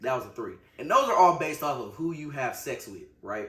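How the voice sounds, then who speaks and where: Through noticeable background noise, a man talks at a fairly quick pace. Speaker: podcast co-host. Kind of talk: casual chat.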